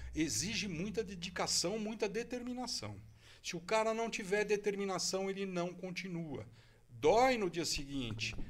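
A man with a high pitch is talking. His pace is fairly slow. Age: 60s. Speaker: jiu-jitsu master. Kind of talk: casual interview.

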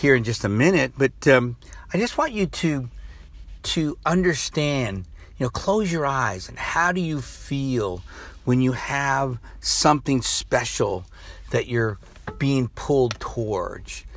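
On a very clean recording with a silent background, a man speaks at a fairly slow pace. His pitch is fairly high and his intonation lively. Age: 60s. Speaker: motivational coach and podcast host. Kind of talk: motivational monologue. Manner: rambling, conversational with fillers.

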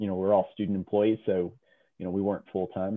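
A man with an ordinary speaking voice, fairly low in pitch, with fairly even intonation. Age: 40s. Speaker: kayaking instructor. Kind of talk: interview.

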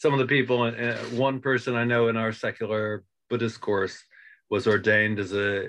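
In an American accent, a man talks with a bright, sharp tone and fairly even intonation. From United States. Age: 70s. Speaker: meditation teacher. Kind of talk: interview. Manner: halting.

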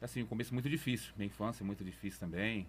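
This man speaks at a fairly low pitch. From interior São Paulo state, Brazil (raised Bebedouro area). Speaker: community project leader. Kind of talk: interview testimony.

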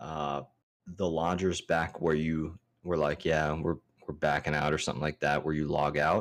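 A very deep, low male voice at a moderate pace, monotone and flat, with very even loudness. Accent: American. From Maryland, US. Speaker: podcast co-host. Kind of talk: casual chat. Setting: video call.

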